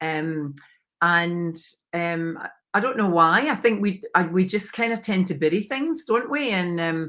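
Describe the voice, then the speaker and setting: In a Scottish accent, a woman speaks fairly slowly at a medium pitch, her intonation lively. Her tone is bright and sharp, and the recording is very clean with a silent background. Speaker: mindset coach. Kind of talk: interview testimony.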